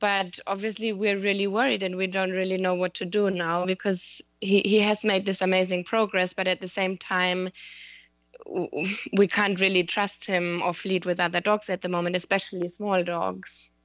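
A woman speaks at a moderate pace in a medium pitch, her intonation monotone and flat. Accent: German. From Germany. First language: German. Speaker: dog owner asking for advice. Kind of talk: casual chat. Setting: Skype call.

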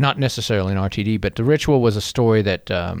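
The speaker talks at a fairly quick pace in a North Carolina accent, with fairly even intonation. The recording is very clean, with a silent background. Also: man. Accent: Southern US (North Carolina). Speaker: beverage company CEO. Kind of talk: casual chat. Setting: studio.

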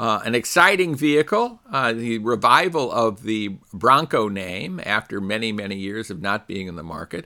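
A man's bright, sharp voice at a moderate pace, with very wide pitch swings, on a very clean recording with a silent background. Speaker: radio host. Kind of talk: scripted radio show intro and interview. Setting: auto show interview.

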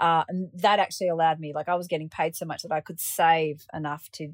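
With an Australian accent, a woman speaks at a fairly quick pace in a fairly low pitch. The recording is very clean and dry, with a close sound, no echo and a silent background. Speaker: paraglider pilot. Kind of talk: interview.

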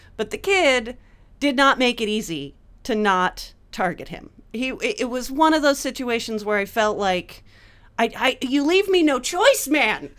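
A woman speaks loudly at a fairly slow pace, her voice high. Her pitch swings very widely. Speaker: comedian. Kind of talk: casual chat.

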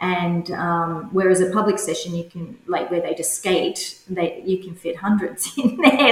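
In an Australian accent, this voice moves at a fairly slow pace with ordinary pitch variation. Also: woman. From Australia, rural New South Wales (Cowra). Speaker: curling club organiser and coach. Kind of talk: interview.

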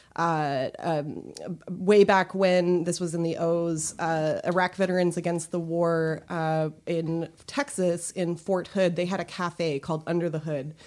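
A woman with an unremarkable speaking voice and fairly low pitch talks at a fairly slow pace with hardly any pauses. Her intonation is fairly even, in a very clean recording with a silent background. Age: 30s. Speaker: comic artist. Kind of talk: casual chat. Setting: studio.

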